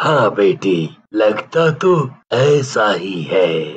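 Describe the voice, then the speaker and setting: A man in a cartoonish character voice at medium pitch makes very wide pitch swings. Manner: gentle, affectionate.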